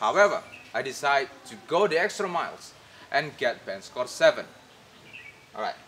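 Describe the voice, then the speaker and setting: A man speaks with an Indonesian accent. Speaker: English tutor. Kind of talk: tutorial.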